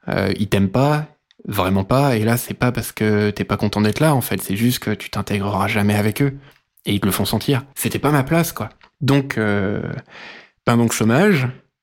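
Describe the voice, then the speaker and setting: A man speaks at a moderate pace with fairly low pitch and ordinary pitch variation. The recording is very clean with a silent background. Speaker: podcast interviewee sharing life story. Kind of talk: personal testimony. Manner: hesitant, many filler sounds.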